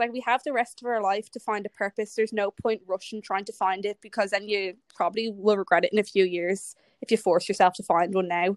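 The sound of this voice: A woman's medium-pitched voice at a fairly quick pace, fairly even in intonation, with a dry, close sound and no echo.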